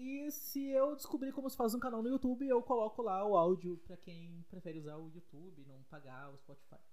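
Against noticeable background noise, a man with a high pitch talks fairly quickly with hardly any pauses, very wide pitch swings and big swings in loudness. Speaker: podcaster. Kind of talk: casual monologue. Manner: fast.

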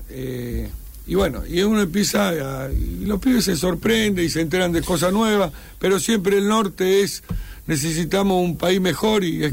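Noticeable background noise surrounds a man with an Argentine accent. He talks at a moderate pace with a high pitch and lively intonation. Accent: Rioplatense Argentine Spanish. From Argentina. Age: 50s. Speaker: war veteran. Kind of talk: radio interview. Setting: studio.

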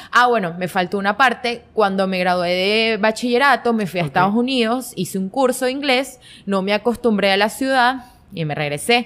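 Fairly high in pitch, a woman with an ordinary speaking voice talks with ordinary pitch variation. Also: moderate pace. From Venezuela, Guanare. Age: 20s. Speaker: fashion content creator. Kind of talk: casual interview chat.

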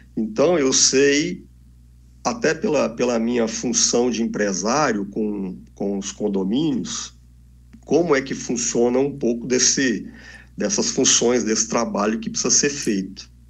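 A man talks at a fairly slow pace with lively intonation and a medium pitch. Room echo is audible. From Brasília, Brazil. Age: 50s. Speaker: entrepreneur and party official. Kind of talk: interview.

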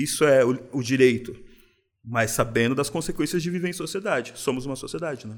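A man talks at a fairly quick pace with a plain, everyday voice. His medium pitch shows ordinary pitch variation. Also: big swings in loudness. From São Paulo city, Brazil. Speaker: craft beer bar owner. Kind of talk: casual interview.

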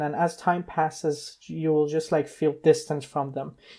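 Here a man speaks with a fairly high pitch. His tone is dark and mellow, and his pace is moderate. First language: non-English. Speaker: guest who runs a science interview blog. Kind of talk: casual chat. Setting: video call, remote from his room. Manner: hesitant with filler words.

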